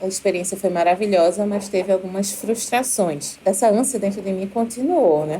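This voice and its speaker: With a Recife accent, a woman speaks at a medium pitch with ordinary pitch variation and hardly any pauses. The pace is moderate, and background noise is noticeable. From Brazil, Recife. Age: 30s. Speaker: university professor, doctoral student. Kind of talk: podcast interview, personal story.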